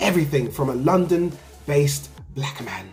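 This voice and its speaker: A man with an English accent talks in a fairly high voice, with audible room echo and noticeable background noise. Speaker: sneaker youtuber. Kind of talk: casual vlog review. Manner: animated.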